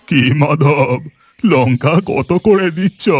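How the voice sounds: A man puts on a cartoonish character voice at a fairly high pitch with ordinary pitch variation. The sound is dry and close, with no echo.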